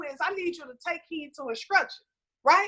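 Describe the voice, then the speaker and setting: A woman speaks in a raised, projected voice with lively intonation. Her tone is animated, bright and sharp. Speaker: conference panelist. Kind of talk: motivational talk. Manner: loud.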